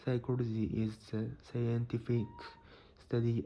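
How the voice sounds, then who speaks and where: Speaking fairly slowly with a Japanese accent, a man has a medium pitch, a dark, mellow tone and a somewhat breathy voice. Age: 30s. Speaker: psychology explainer. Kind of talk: educational talk.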